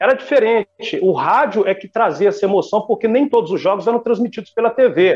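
Talking at a fairly quick pace with hardly any pauses, a man speaks in a high voice with a Minas Gerais accent. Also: ordinary pitch variation. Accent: Minas Gerais Brazilian Portuguese. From Belo Horizonte, Minas Gerais, Brazil. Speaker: sports radio announcer. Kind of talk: interview.

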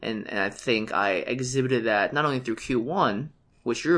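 The background here is quiet. A man talks with ordinary pitch variation. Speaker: podcast co-host. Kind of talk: casual chat.

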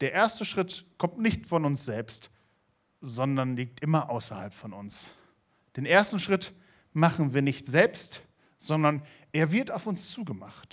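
Very slowly and with long, frequent pauses, a man speaks at a fairly high pitch, with very wide pitch swings and big swings in loudness. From Lower Saxony, Germany. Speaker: youth preacher. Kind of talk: sermon. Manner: animated.

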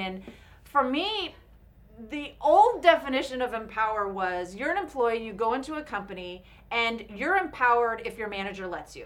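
A woman with a Californian accent speaks at a fairly quick pace and fairly high pitch, in a bright, sharp tone. Her loudness swings widely and her pitch swings very widely, with audible room echo around her. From Orange County, California. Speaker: speaker and employee development coach. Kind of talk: interview.

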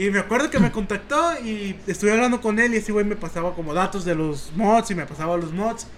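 A high-pitched man with a Mexican accent, lively intonation and a fairly quick pace with hardly any pauses, over noticeable background noise. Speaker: youtuber and podcast co-host. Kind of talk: casual chat. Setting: home, sitting on a bed at a computer.

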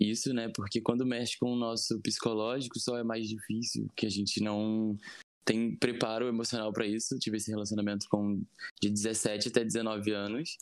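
At a moderate pace, a man talks in a normal speaking voice at a medium pitch. The background is quiet. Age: 20s. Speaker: podcast guest sharing personal story. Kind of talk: interview testimony.

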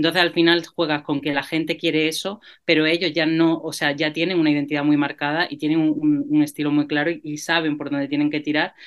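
At a fairly quick pace with hardly any pauses, a woman with a very deep, low pitch speaks in a monotone, flat intonation. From Granada, Andalusia, Spain. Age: 30s. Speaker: music journalist. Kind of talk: panel discussion.

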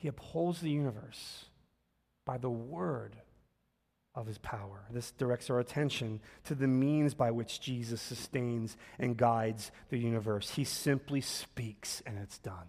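Speaking at a fairly slow pace with ordinary pitch variation, a man has a Philadelphia accent. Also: medium pitch for a man. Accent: Philadelphia American English. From US Northeast, North Philadelphia. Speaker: pastor. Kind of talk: sermon.

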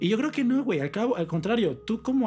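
A man with a Mexican accent speaks at a very fast pace, his pitch swinging very widely. Music plays in the background. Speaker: podcast co-host. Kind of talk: casual chat.

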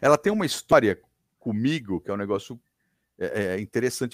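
A man speaks at a fairly quick clip, his pitch swinging very widely. The recording is very clean and dry, close with no echo and a silent background. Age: 50s. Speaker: radio broadcaster. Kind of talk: casual chat.

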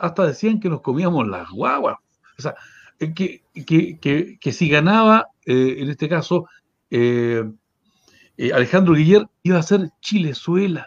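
Against a quiet background, a man with a high voice and lively intonation speaks at a fairly slow pace, leaving long, frequent pauses. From Chile, Valdivia. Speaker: journalist and mayoral candidate. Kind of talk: interview. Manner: hesitant, many fillers.

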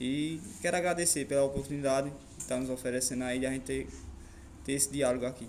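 Pitched at a medium level, a man talks at a moderate pace. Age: young. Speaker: motorcycle stunt rider. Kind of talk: radio interview.

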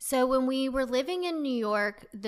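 A woman with a slight Southern US accent, fairly slow pace and ordinary pitch variation. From US South, North Carolina. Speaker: founder of a women's social club. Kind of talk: casual interview chat. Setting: studio.

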